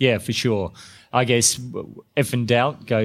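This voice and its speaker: A man speaks with a New Zealand accent at a moderate pace. The recording is very clean, with a silent background. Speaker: intensive care doctor. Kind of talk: podcast interview. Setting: conference. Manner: halting.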